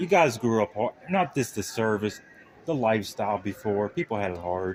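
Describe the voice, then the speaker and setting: With an American accent, a man speaks at a moderate pace in a fairly low pitch with lively intonation. Noticeable background noise runs behind him. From Pittsburgh area, Pennsylvania. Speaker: interviewer of veterans. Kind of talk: casual interview.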